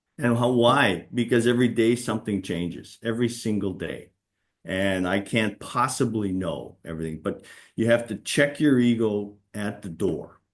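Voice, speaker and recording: Over a quiet background, a man with an unremarkable speaking voice talks at a moderate pace and medium pitch with ordinary pitch variation. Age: 60s. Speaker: senior executive. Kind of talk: panel discussion webinar.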